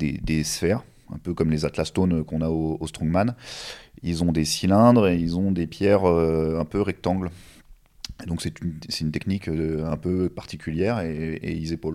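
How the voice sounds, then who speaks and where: At a moderate pace, a man speaks with a very deep, low pitch, a dark, mellow tone and fairly even intonation. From Normandy, France. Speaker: strongman and stone lifting athlete. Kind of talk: casual interview chat. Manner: hesitant, many fillers.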